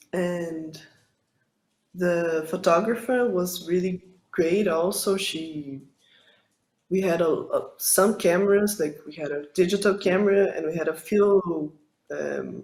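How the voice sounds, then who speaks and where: With a Portuguese accent, a woman talks at a very slow pace with a fairly low pitch, fairly even intonation and long, frequent pauses. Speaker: film director. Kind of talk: interview. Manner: halting, many fillers.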